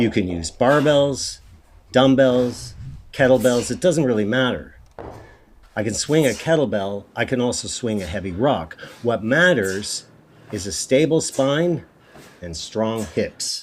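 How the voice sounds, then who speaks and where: A man speaks at a medium pitch with lively intonation. His pace is fairly slow, with long, frequent pauses. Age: 60s. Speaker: fitness trainer. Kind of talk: instructional talk. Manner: casual.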